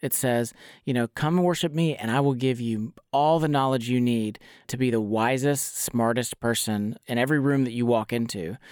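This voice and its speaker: A plain, everyday voice talks at a moderate pace with ordinary pitch variation. The recording is very clean, with a silent background. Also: man. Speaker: podcast co-host. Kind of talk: casual interview chat.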